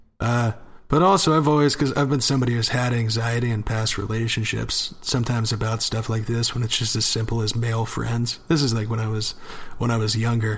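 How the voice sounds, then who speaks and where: A man at a fairly quick pace with fairly even intonation, over noticeable background noise. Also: medium pitch for a man. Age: 20s. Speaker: podcast co-host. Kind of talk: casual chat.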